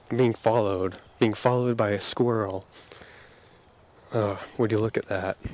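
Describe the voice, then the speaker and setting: At a moderate pace, a man speaks in a fairly low, monotone, flat voice with long, frequent pauses. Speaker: audio diarist. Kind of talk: casual monologue. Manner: halting, many repetitions.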